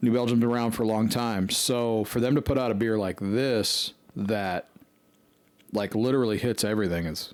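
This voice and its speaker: A man talks at a moderate pace in an unremarkable speaking voice. His pitch is medium and his intonation fairly even. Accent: American. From Colorado (Fort Collins). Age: 40s. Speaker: podcast co-host. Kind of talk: casual chat.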